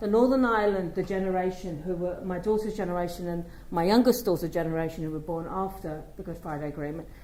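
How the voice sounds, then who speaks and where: There is audible room echo as a woman talks at a very fast pace and a fairly low pitch. Her pitch variation is ordinary. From London, England. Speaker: children's commissioner. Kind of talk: conference speech.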